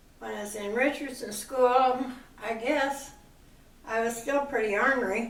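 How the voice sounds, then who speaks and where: A high-pitched woman with an American accent at a fairly slow pace, long, frequent pauses, fairly even intonation, big swings in loudness, audible room echo and noticeable background noise. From US Midwest, Iowa. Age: 80s+. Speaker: grandmother interviewed about her life. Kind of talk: oral history interview.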